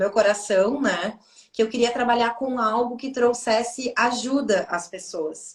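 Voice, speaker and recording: A woman's fairly high voice with a Brazilian accent, ordinary pitch variation and a very slow pace. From southern Brazil. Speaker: Akashic records therapist. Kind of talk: casual chat.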